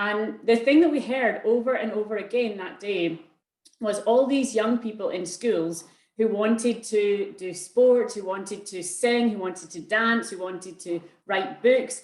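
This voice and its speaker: A woman with a Scottish accent talks at a fairly slow pace, her fairly high voice showing ordinary pitch variation. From Scotland. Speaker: arts organisation co-founder. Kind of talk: presentation in online panel talk. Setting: video call.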